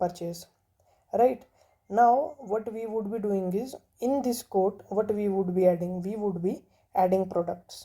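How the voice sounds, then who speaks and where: Slowish and fairly even in intonation, a woman is speaking. Her tone is dark and mellow. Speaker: programming tutorial teacher. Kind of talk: tutorial.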